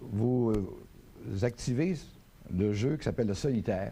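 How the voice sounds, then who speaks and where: At a very slow pace, a man speaks in a medium-pitched voice with ordinary pitch variation. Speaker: webmaster. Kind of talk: TV tutorial.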